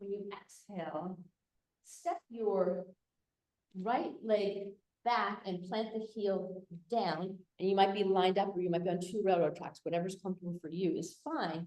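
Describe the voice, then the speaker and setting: With fairly even intonation, the speaker's tone is dark and mellow. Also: woman, medium pitch for a woman. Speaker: yoga teacher. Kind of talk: live yoga class instruction. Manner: slow; hesitant, with fillers.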